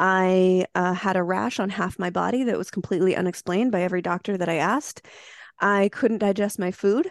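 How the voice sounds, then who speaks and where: A woman with a normal speaking voice talks at a moderate pace and medium pitch with fairly even intonation. The sound is dry and close with no echo, over a quiet background. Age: 30s. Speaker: mushroom supplement entrepreneur. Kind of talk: podcast interview.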